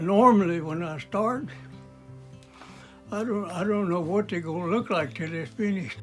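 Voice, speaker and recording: Music plays in the background as a man talks in a high pitch. His intonation is lively, with long, frequent pauses. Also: moderate pace. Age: 80s+. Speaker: World War 2 Navy veteran and woodworker. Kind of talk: interview answer. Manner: halting, repetitive.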